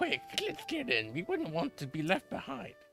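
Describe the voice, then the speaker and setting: A man's put-on character voice, high in pitch, over clear music in the background. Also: moderate pace. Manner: cocky, cartoonish.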